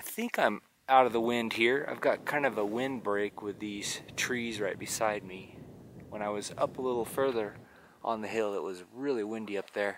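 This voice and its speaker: A man's voice, dry with no echo, fairly even in intonation, over light background noise. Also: moderate pace. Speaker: painter vlogger. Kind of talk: casual vlog chat. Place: open country. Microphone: phone near.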